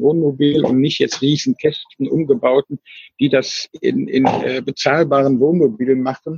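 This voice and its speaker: Over background music, a man with a fairly high voice speaks at a very slow pace with ordinary pitch variation. The recording is dry and close, with no echo. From Germany, Cologne. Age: 60s. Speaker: retired traveller living in a motorhome. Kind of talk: casual interview. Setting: remote call over the internet. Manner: halting, with many fillers and repetitions. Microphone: weak internet connection, dropout midway.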